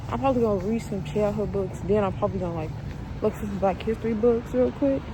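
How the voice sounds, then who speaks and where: A woman talks at a very fast pace. Noticeable background noise and audible room echo fill the recording. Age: 20s. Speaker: vlogger. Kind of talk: casual vlog. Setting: outdoors walking; library. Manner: whispering.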